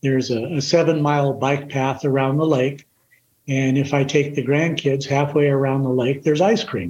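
A man speaks at a moderate pace in a fairly high voice. His tone is somewhat breathy, with fairly even intonation. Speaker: retired firefighter. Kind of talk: casual chat.

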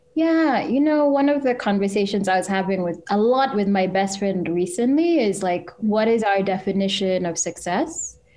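A woman's ordinary speaking voice, medium in pitch, with an American accent, lively intonation, very even loudness, a moderate pace and hardly any pauses. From Kenya, then US from age 12. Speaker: journalist and podcast festival co-founder. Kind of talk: casual interview.

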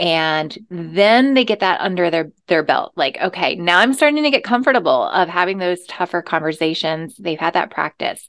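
With an American accent, a woman speaks in an unremarkable speaking voice at a fairly low pitch, with lively intonation. Her pace is moderate with hardly any pauses, over a quiet background. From US South. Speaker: life coach. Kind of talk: interview.

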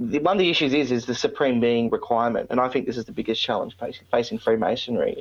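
A man speaks very fast in an Australian accent. He leaves hardly any pauses. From Australia, Victoria. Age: 20s. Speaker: podcast host, Freemason. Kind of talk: interview. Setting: remote call.

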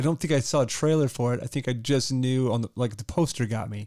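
A man talks at a fairly quick pace in a normal speaking voice, medium in pitch, with fairly even intonation. The recording is very clean, with a silent background. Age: 40s. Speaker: movie podcast co-host. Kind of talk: casual chat.

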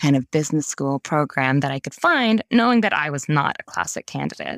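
A woman with a very deep, low pitch is heard in a dry, close sound with no echo. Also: very clean recording, silent background. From Saudi Arabia. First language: Dutch. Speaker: mining sustainability advisor. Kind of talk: interview.

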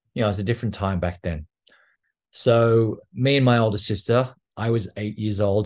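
Against a quiet background, a man with an Australian accent speaks at a fairly low pitch and moderate pace, his intonation fairly even. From Australia, near Canberra. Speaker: abuse survivor and advocate. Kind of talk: personal testimony interview.

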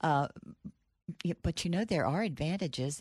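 In a very clean recording with a silent background, a woman is talking. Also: dry, close sound with no echo. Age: 80s+. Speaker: author. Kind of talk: casual chat. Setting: studio.

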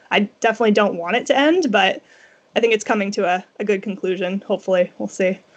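A woman talks very fast at a medium pitch. Her pitch varies in an ordinary way. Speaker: book blogger. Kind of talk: casual chat. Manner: halting.

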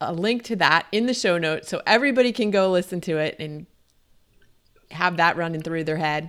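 Over a silent background in a very clean recording, a woman with a plain, everyday voice speaks at a fairly quick pace with ordinary pitch variation. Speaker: podcast host. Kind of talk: interview, podcast intro.

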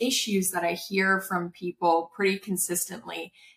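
A woman's plain, everyday voice at medium pitch and a moderate pace. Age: 30s. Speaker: startup founder and content creator. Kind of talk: casual interview chat. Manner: casual, filler-heavy.

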